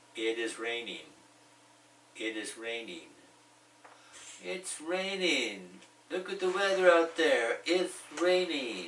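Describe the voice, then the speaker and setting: With an American accent, a man talks at a very slow pace, leaving long, frequent pauses, his high pitch making very wide swings. Audible room echo and noticeable background noise are present. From United States. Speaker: ESL teacher. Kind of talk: tutorial. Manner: slow and repetitive.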